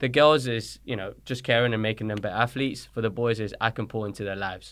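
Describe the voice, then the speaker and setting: A man with a British accent at a very fast pace, medium pitch and fairly even intonation, in a very clean recording with a silent background. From born in Colombia, raised in London from age six. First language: Spanish. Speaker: soccer coach. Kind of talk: podcast interview. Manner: casual, conversational.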